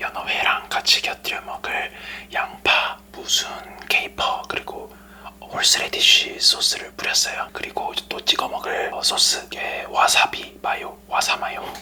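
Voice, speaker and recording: Against noticeable background noise, a man whispers at a fairly slow pace. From Korea. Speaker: ASMR mukbang creator. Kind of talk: ASMR eating show chat. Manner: whispered.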